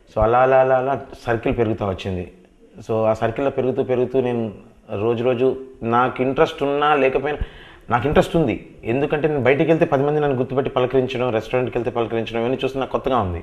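Medium pitch, a normal speaking voice, and ordinary pitch movement from a man. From Hyderabad, India; India. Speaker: film actor. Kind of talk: interview. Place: office. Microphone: lapel.

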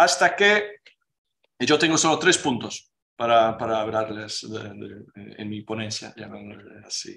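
Against a quiet background, a man talks at a fairly slow pace in a bright, sharp tone with vocal fry, lively intonation and big swings in loudness. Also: medium pitch for a man. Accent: Portuguese. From Portugal. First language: Portuguese (speaking Spanish). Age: 40s. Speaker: playwright; speaker. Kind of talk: lecture. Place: meeting room. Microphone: podium.

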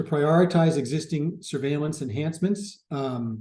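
The tone is dark and mellow, somewhat breathy, with ordinary pitch variation. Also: man. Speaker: public health expert presenting at a webinar. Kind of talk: webinar presentation. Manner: fast.

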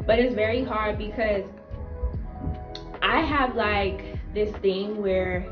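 A woman talks at a fairly slow pace with ordinary pitch variation. Clear music plays in the background. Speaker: YouTuber and mother. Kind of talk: casual talk to camera. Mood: reflective, faith-focused. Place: home room. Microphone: camera far.

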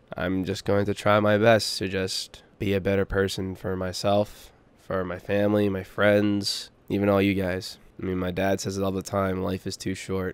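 In an American accent, a man speaks at a fairly low pitch with monotone, flat intonation. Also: moderate pace. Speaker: gaming YouTuber. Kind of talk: personal vlog update.

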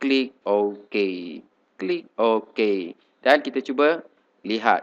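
At a very slow pace, a man talks with long, frequent pauses, his medium pitch showing ordinary variation. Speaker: teacher giving tech tutorials. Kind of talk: screen-recorded software tutorial. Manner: casual, many fillers.

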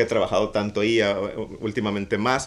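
A man talks at a fairly quick pace in a fairly low pitch. It is a plain, everyday voice. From Mexico, Mazatlán; Mexico. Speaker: art director and street artist; interview guest. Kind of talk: casual interview. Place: office. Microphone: studio mic.

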